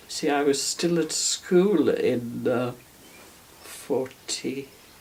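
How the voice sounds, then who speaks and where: Over noticeable background noise, a woman with a very deep, low pitch speaks at a very slow pace with ordinary pitch variation. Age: 80s+. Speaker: war veteran. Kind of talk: testimony. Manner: halting.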